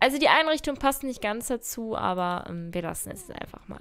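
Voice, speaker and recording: Her pitch sits high. This woman's voice swings very widely in pitch. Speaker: gaming YouTuber. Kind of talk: let's play commentary. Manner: chatty, thinking aloud.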